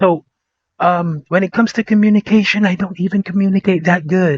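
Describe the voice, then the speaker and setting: A man with a provincial Filipino accent talks at a moderate pace in a high voice. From Philippines, born Vigan, raised Davao City. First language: Ilocano / Bisaya. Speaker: podcast host. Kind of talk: casual vlog monologue. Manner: animated; hesitant, with fillers and repetitions.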